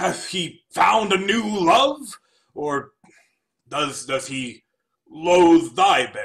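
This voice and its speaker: Using a put-on character voice, the speaker moves very slowly with long, frequent pauses and very wide pitch swings. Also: man, high pitch for a man. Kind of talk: classical verse drama. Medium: stage play. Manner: formal, archaic, courteous.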